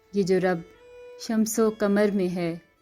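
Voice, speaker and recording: Music plays behind a woman speaking at a fairly high pitch. Her intonation is monotone and flat. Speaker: voice-over artist. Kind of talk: poetry reading.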